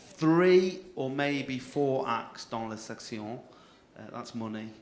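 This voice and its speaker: There is audible room echo and music in the background. A man with a northern English accent speaks at a fairly slow pace. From northern England. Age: 30s. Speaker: comedy compere. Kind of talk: stand-up. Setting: stage with audience.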